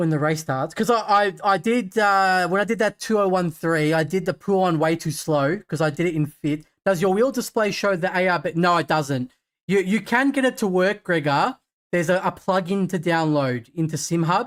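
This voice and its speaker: A man with an Australian accent, high pitch, ordinary pitch variation, a relaxed tone, very even loudness and a moderate pace, in a very clean recording with a silent background. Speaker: sim racing streamer. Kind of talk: live gaming stream commentary. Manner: casual, relaxed.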